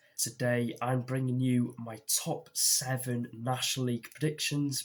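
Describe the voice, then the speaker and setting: A man with a British accent, medium pitch, somewhat breathy delivery, monotone, flat intonation and a moderate pace. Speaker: football YouTuber. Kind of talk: vlog commentary.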